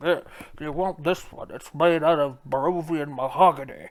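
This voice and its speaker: A man's put-on character voice, fairly high in pitch, at a moderate pace, with fairly even intonation and big swings in loudness. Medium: actual play. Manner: salesman patter.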